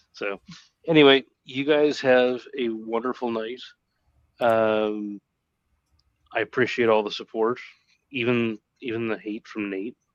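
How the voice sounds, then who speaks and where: A man with a Canadian accent speaks at a medium pitch and a fairly slow pace, his intonation fairly even, with long, frequent pauses in a dry, close sound with no echo. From Canada. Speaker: streaming guest, decoy. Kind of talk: casual chat. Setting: live stream.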